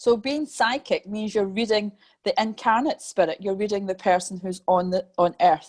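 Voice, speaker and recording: A woman with a Scottish accent speaks at a moderate pace and medium pitch, her pitch varying in an ordinary way, with a dry, close sound, no echo and a quiet background. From Scotland. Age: 50s. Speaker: medium and mentor. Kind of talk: interview.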